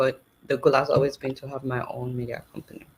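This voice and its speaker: A woman talks at a fairly quick pace with a Nigerian accent. Her pitch is very deep and low. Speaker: journalist and satire show host. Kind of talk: interview.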